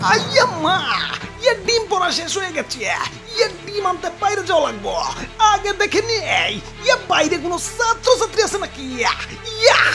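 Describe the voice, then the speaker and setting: A man does a cartoonish character voice as clear music plays in the background. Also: moderate pace. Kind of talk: comic overacting. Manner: stammering, exclamatory, filler-laden.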